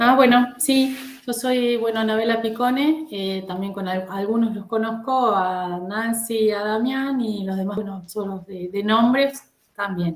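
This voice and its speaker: Here is a woman with a plain, everyday voice and a fairly high pitch. She speaks at a fairly slow pace with ordinary pitch variation. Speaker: psychologist and lecturer, rapporteur. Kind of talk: panel discussion.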